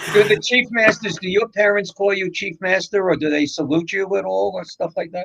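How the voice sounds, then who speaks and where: Recorded with a dry, close sound and no echo, a man talks at a moderate pace with a New York accent. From New York, the Bronx. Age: 70s. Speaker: radio co-host. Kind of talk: casual chat.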